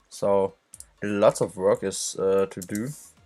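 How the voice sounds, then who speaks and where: With a German accent, a man talks very slowly in a fairly low pitch. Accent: non-native English, German. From Germany. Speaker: indie game developer. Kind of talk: tutorial dev log. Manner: halting.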